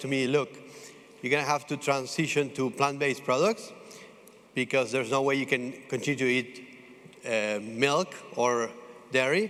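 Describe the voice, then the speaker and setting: The speaker has an Italian accent and talks at a moderate pace. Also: man. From Italy. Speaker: food startup founder. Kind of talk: pitch presentation. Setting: stage with audience. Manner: halting, many fillers.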